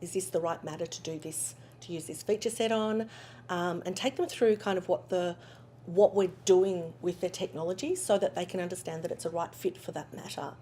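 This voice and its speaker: In an Australian accent, the speaker talks at a fairly quick pace with a dark, mellow tone, ordinary pitch variation, and big swings in loudness. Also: woman, fairly low pitch for a woman. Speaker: legal technology company founder. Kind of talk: interview. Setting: conference.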